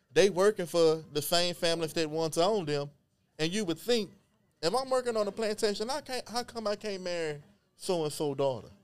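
Lively intonation marks this man's high-pitched speech, delivered at a fairly quick pace with an American accent. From Beaumont, Texas. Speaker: genealogist and historian. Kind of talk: casual interview chat.

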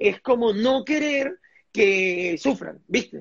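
A man speaks in an extremely high voice with lively intonation. His pace is very slow. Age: 30s. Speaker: entrepreneur. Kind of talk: interview. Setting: livestream.

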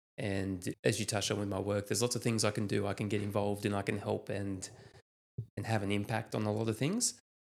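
In an Australian accent, a man talks very fast in a fairly low voice with vocal fry and monotone, flat intonation. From Australia, New South Wales mid north coast. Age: 30s. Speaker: police officer. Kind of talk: casual chat.

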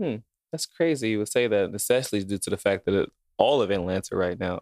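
A man with a plain, everyday voice and an American accent, fairly low pitch with ordinary pitch variation, fairly quick pace, and a dry, close sound with no echo. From Chicago, US. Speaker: podcast co-host. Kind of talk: casual chat.

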